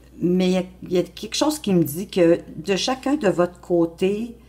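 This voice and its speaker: Someone with a Quebec accent talks at a fairly slow pace. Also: woman. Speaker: tarot card reader. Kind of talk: tarot reading monologue. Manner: hesitant, many fillers.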